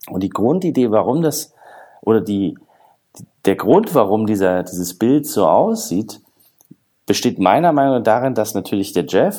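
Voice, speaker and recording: A man talks at a moderate pace in a fairly low pitch with a dark, mellow tone. His intonation is lively. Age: 40s. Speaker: agile consultant and author. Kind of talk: podcast interview.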